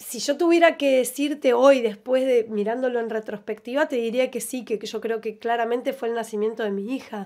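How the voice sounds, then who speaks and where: A high-pitched woman at a moderate pace with hardly any pauses, fairly even intonation, and a quiet background. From Argentina. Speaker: grandchild of disappeared, rights campaign witness; interview guest. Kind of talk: radio interview testimony. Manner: halting. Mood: reflective, personal memories. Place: studio. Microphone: studio mic.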